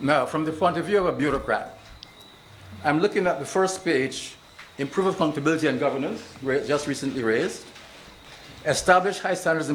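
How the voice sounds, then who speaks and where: A man with a fairly high pitch speaks at a fairly quick pace, broken by long, frequent pauses, with audible room echo and noticeable background noise. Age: 80s+. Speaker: retired bureaucrat, audience member. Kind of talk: public comment at town hall.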